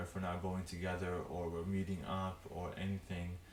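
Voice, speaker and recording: A fairly low-pitched man at a moderate pace, with noticeable background noise and audible room echo. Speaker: podcast co-host. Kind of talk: casual chat.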